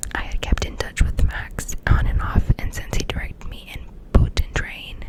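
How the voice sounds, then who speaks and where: Noticeable background noise fills the recording. The speech is whispered. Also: woman, moderate pace, big swings in loudness. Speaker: ASMR creator. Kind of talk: ASMR book reading.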